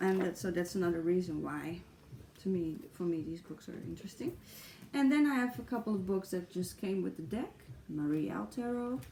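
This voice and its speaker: With a Dutch accent, a woman talks at a fairly quick pace, her pitch swinging very widely. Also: medium pitch for a woman. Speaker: tarot YouTuber. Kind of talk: casual vlog talk. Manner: halting, with fillers.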